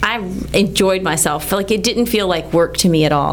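Over noticeable background noise and audible room echo, a woman with a fairly low pitch talks at a very fast pace. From Texas, Texas City. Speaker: hand surgeon. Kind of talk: medical radio interview. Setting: studio.

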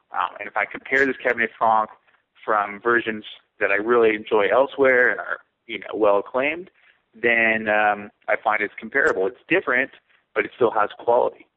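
A man with a West Coast accent, a medium pitch, ordinary pitch variation and a fairly quick pace. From California. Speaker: winemaker. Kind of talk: interview.

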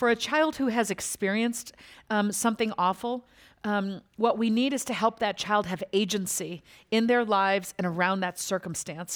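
A woman speaks in a normal speaking voice at a moderate pace and medium pitch, with ordinary pitch variation, on a very clean recording with a silent background. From US (moved from Lagos, Nigeria as a toddler). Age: 50s. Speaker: author. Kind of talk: public interview on stage. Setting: stage with audience.

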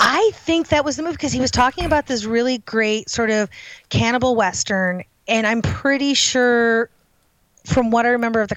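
A woman with a plain, everyday voice and an American accent speaks at a moderate pace and fairly high pitch with ordinary pitch variation, in a very clean recording with a silent background. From Chicago, US Midwest. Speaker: horror writer and editor. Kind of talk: interview.

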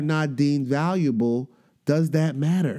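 A man's dark, mellow tone at a fairly slow pace, with ordinary pitch variation. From New York. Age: 40s. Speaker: podcast host, educator and rapper. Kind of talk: casual monologue. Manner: animated, hesitant with fillers.

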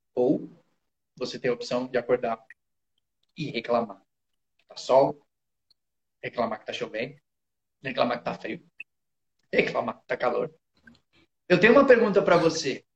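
A man in an animated tone at a moderate pace, with long, frequent pauses and big swings in loudness. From interior of São Paulo state, Brazil. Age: 30s. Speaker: motivational speaker. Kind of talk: casual chat.

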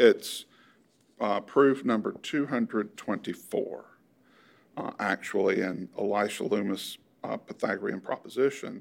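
Speaking at a fairly slow pace, a man leaves long, frequent pauses. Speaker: mathematics historian. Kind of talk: interview. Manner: halting, many fillers.

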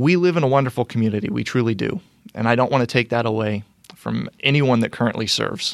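At a very fast pace, a man with a Midwestern American accent speaks at medium pitch with ordinary pitch variation, the sound dry and close with no echo. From Indiana (Brownsburg, west of Indianapolis). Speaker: mayoral candidate. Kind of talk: interview. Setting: studio.

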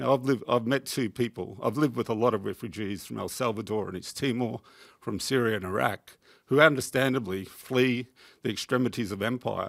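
The speaker has an Australian accent and talks at a fairly quick pace. Pitch variation is ordinary. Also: man, medium pitch for a man. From Queensland, Australia. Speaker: peace activist. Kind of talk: audience contribution. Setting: tv studio with audience.

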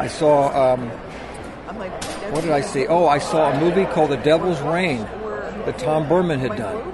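A fairly high-pitched man with lively intonation and hardly any pauses, amid noticeable background noise and audible room echo. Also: fairly slow pace. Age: 60s. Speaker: special effects makeup artist. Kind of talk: interview.

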